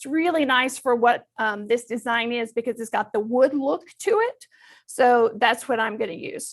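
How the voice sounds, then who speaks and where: A woman with a Southern US accent, high-pitched, at a moderate pace, with ordinary pitch variation and big swings in loudness. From Texas. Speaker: crafting instructor. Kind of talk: tutorial. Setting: studio.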